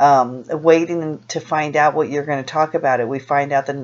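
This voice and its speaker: Over music in the background, the voice moves at a fairly quick pace with monotone, flat intonation. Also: woman. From US West Coast, Los Angeles. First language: Spanish. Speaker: vlogger. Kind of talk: personal vlog monologue. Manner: halting, many fillers and restarts.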